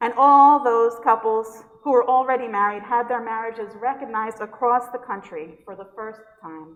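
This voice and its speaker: Speaking at a moderate pace, a woman with a New York accent has a fairly high pitch. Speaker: pastor. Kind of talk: sermon.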